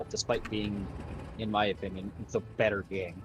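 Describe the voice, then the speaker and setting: This is a man speaking with a fairly low pitch. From Canada, Manitoba (Winnipeg area). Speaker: gaming streamer. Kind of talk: casual chat while gaming.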